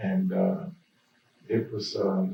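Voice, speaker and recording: Speaking with an Alabama accent, a man uses a fairly high pitch with very wide pitch swings. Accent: US South, Alabama. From Birmingham, Alabama. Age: 80s+. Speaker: pastor. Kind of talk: oral history interview. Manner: halting, many fillers.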